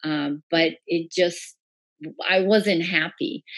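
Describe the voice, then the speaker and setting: An American accent and a normal speaking voice, with ordinary pitch variation over a quiet background. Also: woman. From Iran, then US from age 11. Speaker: breathwork and bodywork practitioner. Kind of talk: casual interview.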